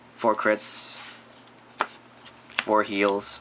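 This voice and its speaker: Noticeable background noise is present. A man talks over it. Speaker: card game youtuber. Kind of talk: deck profile tutorial. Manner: halting, many fillers; casual.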